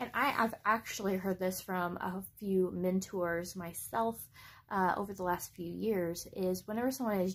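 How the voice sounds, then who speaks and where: The recording is very clean with a silent background. A somewhat breathy woman speaks at a medium pitch and moderate pace with ordinary pitch variation. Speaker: book vlogger. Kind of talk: casual vlog book review. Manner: hesitant with fillers.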